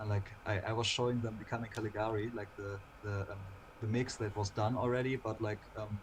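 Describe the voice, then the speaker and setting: In a German accent, a man speaks fairly quickly at a fairly low pitch with monotone, flat intonation. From Germany, Lower Saxony. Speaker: singer in a dark-scene band. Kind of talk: casual interview chat. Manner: halting, repeats words.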